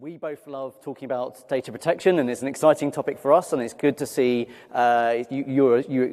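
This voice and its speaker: A man with a London accent speaks at a fairly quick pace and a fairly high pitch, recorded very cleanly over a silent background. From London, England. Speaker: cloud security manager, conference speaker. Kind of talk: conference talk.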